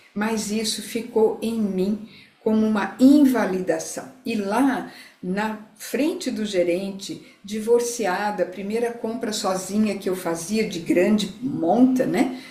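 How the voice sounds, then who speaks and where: Against noticeable background noise and audible room echo, a woman speaks very slowly at a fairly high pitch with ordinary pitch variation. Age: 60s. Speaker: integrative therapist. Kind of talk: live talk to online audience.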